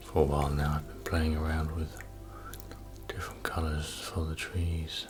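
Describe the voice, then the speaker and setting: Soft-spoken and soothing, a man with a very deep, low voice and ordinary pitch variation talks over background music. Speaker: painter, ASMR art creator. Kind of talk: ASMR painting session, casual talk to camera. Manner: soft-spoken, slow, soothing.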